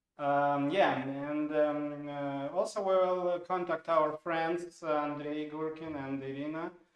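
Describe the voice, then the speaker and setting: The speaker has a Russian accent and a monotone, flat intonation, moving at a very slow pace with hardly any pauses. Audible room echo sits over a quiet background. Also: man, fairly high pitch for a man. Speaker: software product owner, stream co-host; stream co-host. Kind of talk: informal live stream webinar. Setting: studio live stream. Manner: halting, many fillers. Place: studio.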